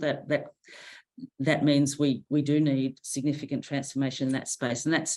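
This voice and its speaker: A woman's very deep, low voice, dark and mellow in tone, flat and monotone at a moderate pace, on a very clean recording with a silent background. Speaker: university vice chancellor. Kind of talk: interview conversation. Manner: hesitant, many fillers.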